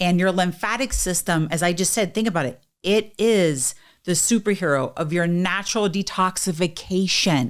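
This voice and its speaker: Recorded very cleanly against a silent background, a woman at medium pitch talks at a moderate pace in an animated tone, with very even loudness and ordinary pitch variation. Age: 50s. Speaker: wellness podcast co-host. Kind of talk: casual chat. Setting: studio.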